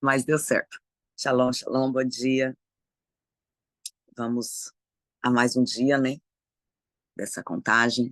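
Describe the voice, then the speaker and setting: A man's medium-pitched voice, monotone and flat, very slow with long, frequent pauses, in a dry, close sound with no echo. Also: quiet background. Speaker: preacher. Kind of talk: devotional talk.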